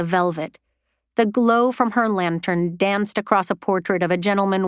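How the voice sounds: Over a quiet background, the pitch of a natural reading voice varies in an ordinary way.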